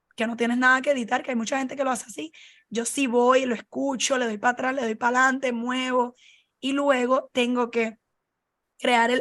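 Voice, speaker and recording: Against a quiet background, a woman speaks in a high-pitched, flat monotone. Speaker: podcast host. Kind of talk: casual chat.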